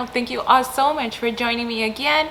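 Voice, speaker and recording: Over noticeable background noise, a woman talks at a moderate pace with a fairly high pitch and fairly even intonation. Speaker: entrepreneur and marketing coach. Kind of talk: casual talk to camera.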